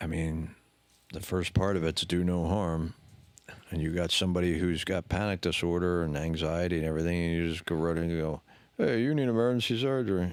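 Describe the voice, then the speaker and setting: Mumbling at a fairly quick pace, a man speaks with a very deep, low pitch and ordinary pitch variation. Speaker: podcast co-host sharing his mental health story. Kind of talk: casual chat.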